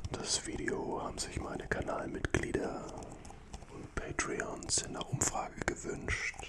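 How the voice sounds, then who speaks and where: Loud background noise surrounds a man who speaks at a very slow pace. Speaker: ASMR content creator. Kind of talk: soft ASMR chat to viewers. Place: studio. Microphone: studio mic.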